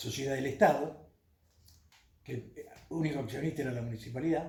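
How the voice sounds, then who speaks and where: A man with a fairly high pitch and a dark, mellow tone sounds somewhat breathy, and the room echo is audible. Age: 70s. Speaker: former city councillor. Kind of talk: interview. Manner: hesitant, frequent fillers.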